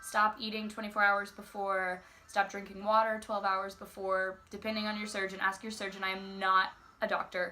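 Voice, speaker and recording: With noticeable background noise behind her, a woman speaks at a medium pitch and moderate pace in a monotone, flat intonation. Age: young. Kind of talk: casual talk to camera.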